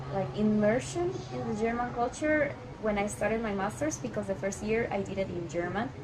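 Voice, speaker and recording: Music plays in the background as a woman with fairly high pitch speaks amid audible room echo. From Colombia. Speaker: immigrant friend. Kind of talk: casual chat.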